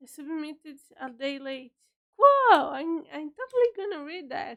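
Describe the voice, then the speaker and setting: A woman's extremely high voice at a fairly slow pace. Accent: Portuguese. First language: Portuguese. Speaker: writer streamer. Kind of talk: casual chat. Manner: halting.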